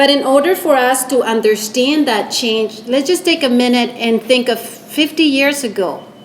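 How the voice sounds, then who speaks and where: The voice moves at a moderate pace with hardly any pauses. Noticeable background noise sits behind it. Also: woman, high pitch for a woman, ordinary pitch variation. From Costa Rica. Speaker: public service leader, lecture speaker. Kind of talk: lecture.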